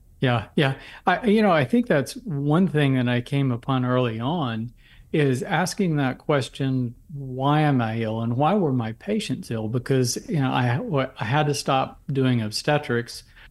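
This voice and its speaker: This man has an unremarkable speaking voice, medium in pitch with ordinary variation. He speaks fairly slowly on a very clean recording with a silent background. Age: 60s. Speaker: physician and herbal medicine author. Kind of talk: interview, explanatory talk.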